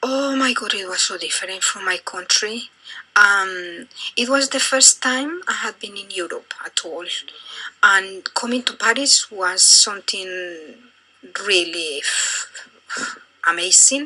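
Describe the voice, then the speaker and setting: Over noticeable background noise, a woman with a medium pitch speaks very slowly and with lively intonation. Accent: Colombian. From Colombia. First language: Spanish. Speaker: interviewee, immigrant. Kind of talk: interview. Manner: halting, many fillers.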